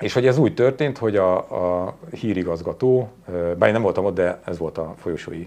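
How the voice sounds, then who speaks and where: A man with an unremarkable speaking voice and a fairly low pitch talks at a fairly quick pace with lively intonation. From Hungary. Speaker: journalist and TV presenter; interview guest. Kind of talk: interview conversation. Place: studio.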